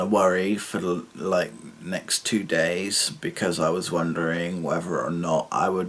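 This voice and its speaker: This man's pitch is very deep and low. He speaks at a fairly slow pace. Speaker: student vlogger. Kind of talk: video diary vlog. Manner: halting, many fillers.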